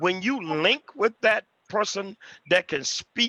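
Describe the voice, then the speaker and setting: A man projects a raised, high-pitched voice with lively intonation and a bright, sharp tone, in a dry, close sound with no echo. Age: 60s. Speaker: pastor and author. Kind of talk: panel discussion on video call. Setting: video call.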